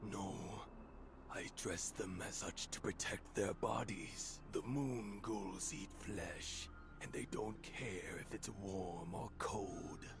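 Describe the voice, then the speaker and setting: Over loud background noise, a man does a put-on character voice at a fairly low pitch and a very slow pace. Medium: video game. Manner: solemn, pious.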